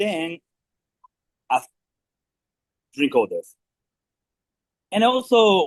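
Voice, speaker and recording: A man with a Japanese accent, high pitch and very wide pitch swings, at a very slow pace with long, frequent pauses, in a dry, close sound with no echo. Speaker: restaurant manager. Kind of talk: staff meeting briefing. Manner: halting.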